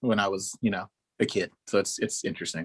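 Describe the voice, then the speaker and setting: Dry and close with no echo, a man's voice comes through. He talks at a very fast pace. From Oklahoma, US (military family, moved around). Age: 30s. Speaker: musician. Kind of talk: interview. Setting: video call. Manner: animated.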